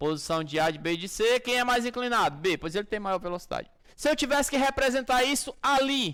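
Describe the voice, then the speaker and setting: Lively intonation and a fairly quick pace from a male speaker. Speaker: physics teacher. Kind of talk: lecture. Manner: animated.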